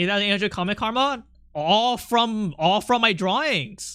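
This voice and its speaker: In a very clean recording with a silent background, a man uses a raised, projected voice with a bright, sharp tone, a high pitch and ordinary pitch variation at a moderate pace. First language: not English. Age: 30s. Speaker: artist streamer. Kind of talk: casual live stream chat. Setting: live stream. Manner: animated.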